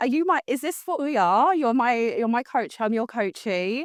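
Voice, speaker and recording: A woman with a London accent speaks at a fairly quick pace in an animated tone. The sound is dry and close, with no echo. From London, England. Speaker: customer success team leader. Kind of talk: casual interview chat. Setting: live stream recording.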